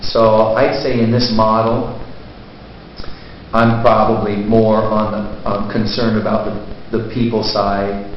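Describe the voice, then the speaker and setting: With noticeable background noise and audible room echo, a man talks at a fairly slow pace in a fairly low pitch with monotone, flat intonation. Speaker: college teacher. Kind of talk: interview. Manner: loud.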